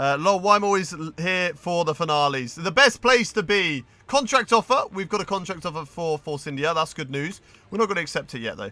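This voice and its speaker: A man with a high pitch speaks at a fairly quick pace. His tone is bright and sharp, with lively intonation. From English Midlands. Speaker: video game streamer. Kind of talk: live gameplay stream commentary.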